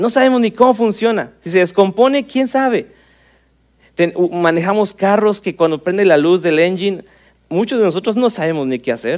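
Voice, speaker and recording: Lively intonation marks this man's high voice, which moves at a moderate pace. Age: 30s. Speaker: pastor. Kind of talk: sermon.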